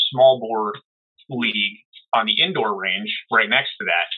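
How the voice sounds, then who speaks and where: A man speaks with an American accent at a moderate pace. He has a normal speaking voice at medium pitch. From US Northeast, New Jersey. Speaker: holster maker and competitive shooter. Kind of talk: casual interview.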